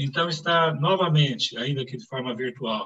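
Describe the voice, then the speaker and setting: The man's voice has a bright, sharp tone. He keeps to a moderate speed. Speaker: medical professor, lecturer. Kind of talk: academic lecture. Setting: online live event. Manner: formal.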